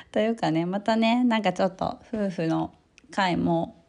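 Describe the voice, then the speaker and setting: A woman talks at a fairly low pitch in a dark, mellow tone. The background is quiet. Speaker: podcast host. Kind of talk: casual chat. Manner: loud.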